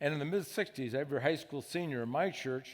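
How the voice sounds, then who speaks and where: A man with an Upper Midwest accent at a fairly quick pace, ordinary pitch variation, and a very clean recording over a silent background. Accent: Upper Midwest American. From Michigan (Grand Rapids). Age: 70s. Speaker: conference speaker. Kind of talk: testimony. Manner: halting.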